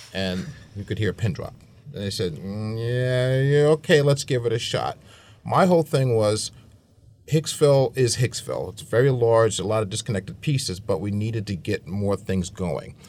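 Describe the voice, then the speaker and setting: Here a man with an American accent talks at a medium pitch in an ordinary speaking voice. His intonation is lively, and the recording is very clean with a silent background. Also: moderate pace. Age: 50s. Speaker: chamber of commerce director and business consultant. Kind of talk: radio roundtable discussion. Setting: radio studio.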